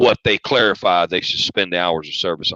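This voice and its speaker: A man's very fast speech in a Southern accent, bright and sharp in tone, with a dry, close sound and no echo. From US South. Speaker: truck driver. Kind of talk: casual chat.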